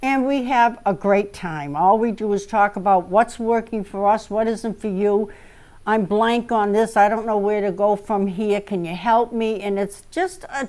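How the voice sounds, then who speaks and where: A plain, everyday voice from a woman, medium in pitch, moderate in pace, fairly even in intonation, on a very clean recording with a silent background. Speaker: author and cable show host. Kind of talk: talk-show monologue with writing tips.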